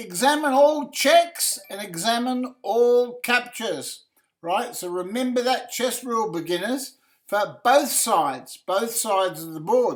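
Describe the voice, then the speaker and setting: With an Australian accent, a man talks fairly slowly at an extremely high pitch, his intonation lively and his loudness swinging widely. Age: 70s. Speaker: chess streamer and coach. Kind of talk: live game commentary and analysis. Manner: halting, many fillers.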